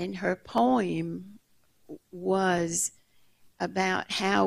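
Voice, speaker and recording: The background stays quiet as a woman speaks. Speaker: audience member. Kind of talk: audience question. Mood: calm, reflective storytelling. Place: stage.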